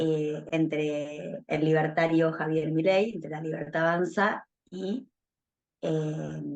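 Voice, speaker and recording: A woman's very deep, low pitch at a very slow pace, with fairly even intonation. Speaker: university professor, political analyst. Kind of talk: interview.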